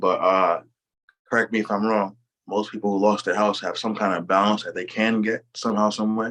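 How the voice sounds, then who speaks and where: A man is speaking here. His pitch is fairly low and his pace fairly quick. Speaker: real estate podcast host. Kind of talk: casual interview. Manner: fast.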